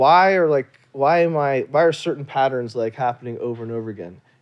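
In an ordinary speaking voice, a man talks at a fairly quick pace, fairly high in pitch, with ordinary pitch variation. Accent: American. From US South, Louisiana. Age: 40s. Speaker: doctor, anesthesiologist. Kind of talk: casual interview.

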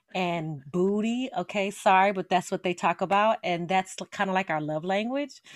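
Speaking in a normal speaking voice with an American accent, a woman keeps a moderate pace, a medium pitch, ordinary pitch variation and hardly any pauses. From Las Vegas, Nevada, US. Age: 40s. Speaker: author. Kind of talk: interview.

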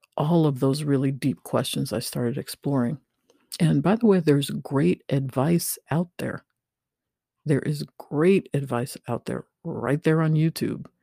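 A woman with a very deep, low pitch and a dark, mellow tone speaks at a fairly slow pace with vocal fry. Her pitch varies in an ordinary way, and the sound is dry and close with no echo. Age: 50s. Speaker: podcast host. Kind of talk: solo podcast monologue.

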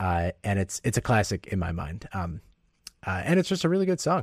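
Speaking very fast with an American accent, a man with a fairly low, somewhat breathy voice and ordinary pitch variation is heard on a very clean recording with a silent background. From US Midwest. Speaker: podcaster. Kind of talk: casual interview. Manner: halting.

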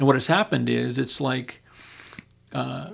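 A man with an American accent and vocal fry at a moderate pace, in a very clean recording with a silent background. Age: 60s. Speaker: pastor. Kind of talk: podcast interview about scripture.

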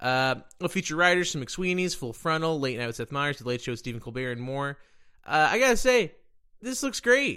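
With an American accent and a bright, sharp tone, a man speaks at a fairly quick pace with lively intonation and a fairly high pitch, in a very clean recording with a silent background. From Dallas, Texas. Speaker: podcast host. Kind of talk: casual interview.

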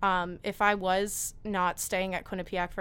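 A woman's fairly low-pitched voice in a flat monotone. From New Jersey, Mahwah. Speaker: university student. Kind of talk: interview.

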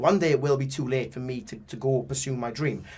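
Somewhat breathy and dark, mellow in tone, the voice moves at a moderate pace with a British accent. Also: man. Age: young. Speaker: professional boxer. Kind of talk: interview. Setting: studio.

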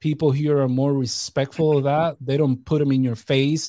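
A man with an American accent talks in a monotone, flat intonation at a fairly high pitch. His tone is dark and mellow, on a very clean recording with a silent background. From New York. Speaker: expat father and podcast guest. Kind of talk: casual chat.

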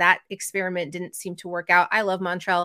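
Bright, sharp tone at a fairly quick pace, in a very clean recording with a silent background. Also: woman. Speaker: sports podcaster. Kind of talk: casual sports discussion podcast.

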